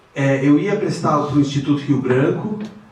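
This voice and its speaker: Lively intonation from a man at a fairly high pitch, with audible room echo and noticeable background noise. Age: 60s. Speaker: finance executive and lecturer. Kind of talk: guest lecture. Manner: hesitant, many fillers.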